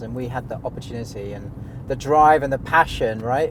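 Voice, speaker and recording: This man has a British accent and talks at a fairly quick pace. His intonation stays fairly even, and there is noticeable background noise. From Britain. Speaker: insurance software company CEO. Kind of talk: interview in a car. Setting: in a car.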